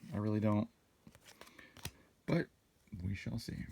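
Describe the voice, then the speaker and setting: Soft-spoken, a man talks at a fairly low pitch with fairly even intonation. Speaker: trading card unboxing YouTuber. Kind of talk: casual unboxing commentary. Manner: soft-spoken, low talker.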